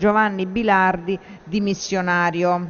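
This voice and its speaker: The woman speaks in a monotone with flat intonation. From Italy. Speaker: parliamentary session chair. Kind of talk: formal procedural announcements. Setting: parliament chamber. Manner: formal. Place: hall. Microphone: podium.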